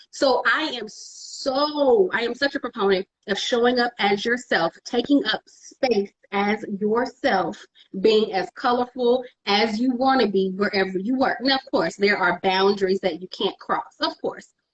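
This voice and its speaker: A woman's fairly high voice with an American accent and lively intonation. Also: fairly slow pace. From Texas, Dallas. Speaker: digital media producer. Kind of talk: interview conversation. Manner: loud; animated.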